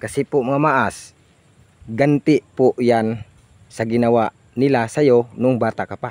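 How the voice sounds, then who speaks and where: In a dry, close recording with no echo, a man of medium pitch talks fairly slowly with fairly even intonation. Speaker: vlogger. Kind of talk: casual vlog talk. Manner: loud.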